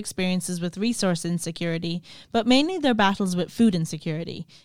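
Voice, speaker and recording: In a western Irish accent, the speaker talks at a very fast pace with ordinary pitch variation, on a very clean recording with a silent background. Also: woman. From Ireland, County Clare. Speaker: podcast host, graduate student. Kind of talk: scripted narration.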